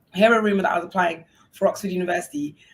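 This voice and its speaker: The woman talks at a very fast pace in an animated tone. Her voice is somewhat breathy. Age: 30s. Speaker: university dean and entrepreneur. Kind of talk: panel discussion.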